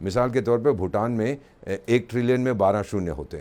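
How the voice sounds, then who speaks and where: A man with vocal fry speaks at a moderate pace in a medium pitch. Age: 70s. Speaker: economist. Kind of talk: interview.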